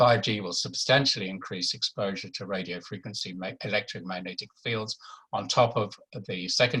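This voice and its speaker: This man's bright, sharp tone carries ordinary pitch variation. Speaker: doctor giving a health talk. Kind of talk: webinar presentation. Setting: online webinar. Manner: fast; halting, many fillers.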